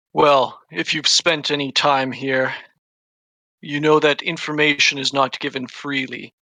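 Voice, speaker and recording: A man puts on a resonant, fairly high-pitched character voice with fairly even intonation at a moderate pace. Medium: actual play. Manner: imperious, measured, scheming.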